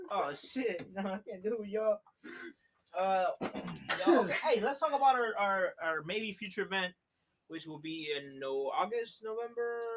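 This man's high-pitched voice carries lively intonation. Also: moderate pace. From Mexican heritage. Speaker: DJ and podcast host. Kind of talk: casual chat.

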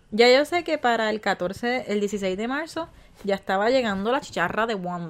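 A woman with a normal speaking voice talks at a moderate pace and a fairly high pitch, with lively intonation. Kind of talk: casual chat.

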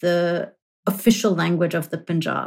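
A woman's voice in a very clean recording with a silent background. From grew up in London and New York, Punjabi-speaking household. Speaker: history professor. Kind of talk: academic interview. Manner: hesitant fillers, self-repeating.

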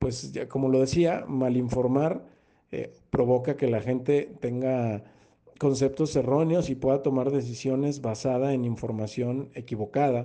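A man speaks at a fairly slow pace, his medium-pitched voice dark and mellow in tone. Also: ordinary pitch variation. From Mexico, Guadalajara. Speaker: sports journalist and commentator. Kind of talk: interview.

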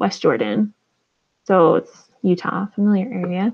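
An ordinary speaking voice from a woman, medium in pitch, at a fairly slow pace. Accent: American. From New Mexico. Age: 30s. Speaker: former missionary and mother. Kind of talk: casual chat.

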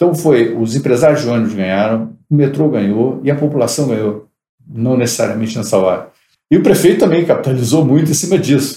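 Dark and mellow yet somewhat breathy, a man speaks at a fairly quick pace with lively intonation. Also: medium pitch for a man. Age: 60s. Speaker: entrepreneur. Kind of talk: interview.

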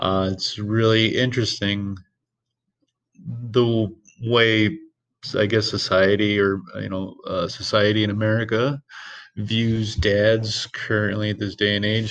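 A man speaks fairly slowly in a fairly low, monotone voice with flat intonation. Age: 30s. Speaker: podcast host, single father. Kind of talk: casual monologue. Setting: alone at work.

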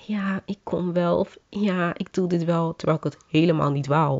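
The speaker uses a monotone, flat intonation at a fairly slow pace. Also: woman. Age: 20s. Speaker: podcast host. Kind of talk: personal monologue. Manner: casual.

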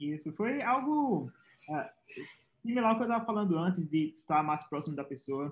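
A man with a plain, everyday voice speaks at a moderate pace, fairly high in pitch, with lively intonation. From Pernambuco, Brazil. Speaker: software engineer, former programming competitor. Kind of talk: interview.

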